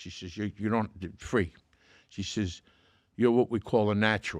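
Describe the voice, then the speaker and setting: Against a quiet background, a man speaks at a moderate pace with a fairly low pitch and ordinary pitch variation. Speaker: actor. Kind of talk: storytelling interview answer. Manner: casual, animated.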